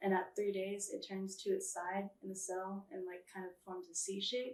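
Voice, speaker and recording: A woman with an unremarkable speaking voice talks at a moderate pace, medium in pitch, with fairly even intonation. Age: 20s. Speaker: beekeeper and queen breeder. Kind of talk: interview.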